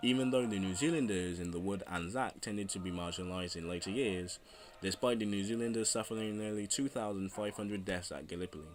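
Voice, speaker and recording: This man talks at a very fast pace. His pitch is fairly low. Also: ordinary pitch variation. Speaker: history video narrator. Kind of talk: history documentary narration.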